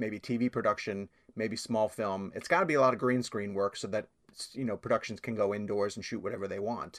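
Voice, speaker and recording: A man with an American accent speaks in a plain, everyday voice at a fairly quick pace. His intonation is fairly even, and the recording is very clean with a silent background. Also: dry, close sound with no echo. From New York. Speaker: film journalist. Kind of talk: interview.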